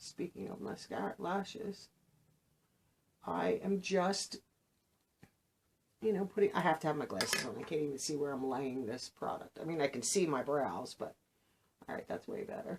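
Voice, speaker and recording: At a moderate pace broken by long, frequent pauses, a woman speaks at a fairly low pitch with very wide pitch swings. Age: 60s. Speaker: beauty vlogger. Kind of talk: makeup tutorial. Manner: casual, chatty.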